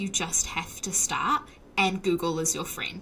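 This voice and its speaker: With a New Zealand accent, a woman speaks at a medium pitch and a moderate pace over noticeable background noise. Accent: Kiwi. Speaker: software developer, podcaster. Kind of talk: interview.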